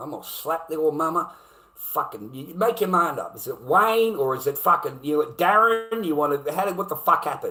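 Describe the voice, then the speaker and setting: With an Australian accent, a man speaks in a high pitch, his tone animated and his intonation lively. His loudness swings widely, and background noise is noticeable. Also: moderate pace. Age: 50s. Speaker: livestreamer. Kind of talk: angry rant on a livestream. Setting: live stream. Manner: animated, heated.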